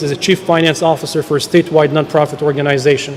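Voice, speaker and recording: Through noticeable background noise, a man rattles off his words at a very fast pace. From third world country, grew up abroad. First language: not English. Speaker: state senator. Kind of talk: ceremonial speech. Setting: public event at statehouse.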